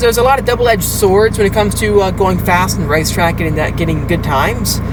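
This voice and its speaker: The speaker has an animated tone and a fairly quick pace. Noticeable background noise runs behind the voice. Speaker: car vlogger. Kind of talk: driving vlog commentary. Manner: fast.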